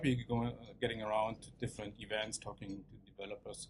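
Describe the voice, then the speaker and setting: A man talks at a fairly quick pace with a German accent. Vocal fry runs through his voice. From East Germany. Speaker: tech speaker, developer advocate and researcher. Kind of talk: tech talk. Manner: hesitant, many fillers.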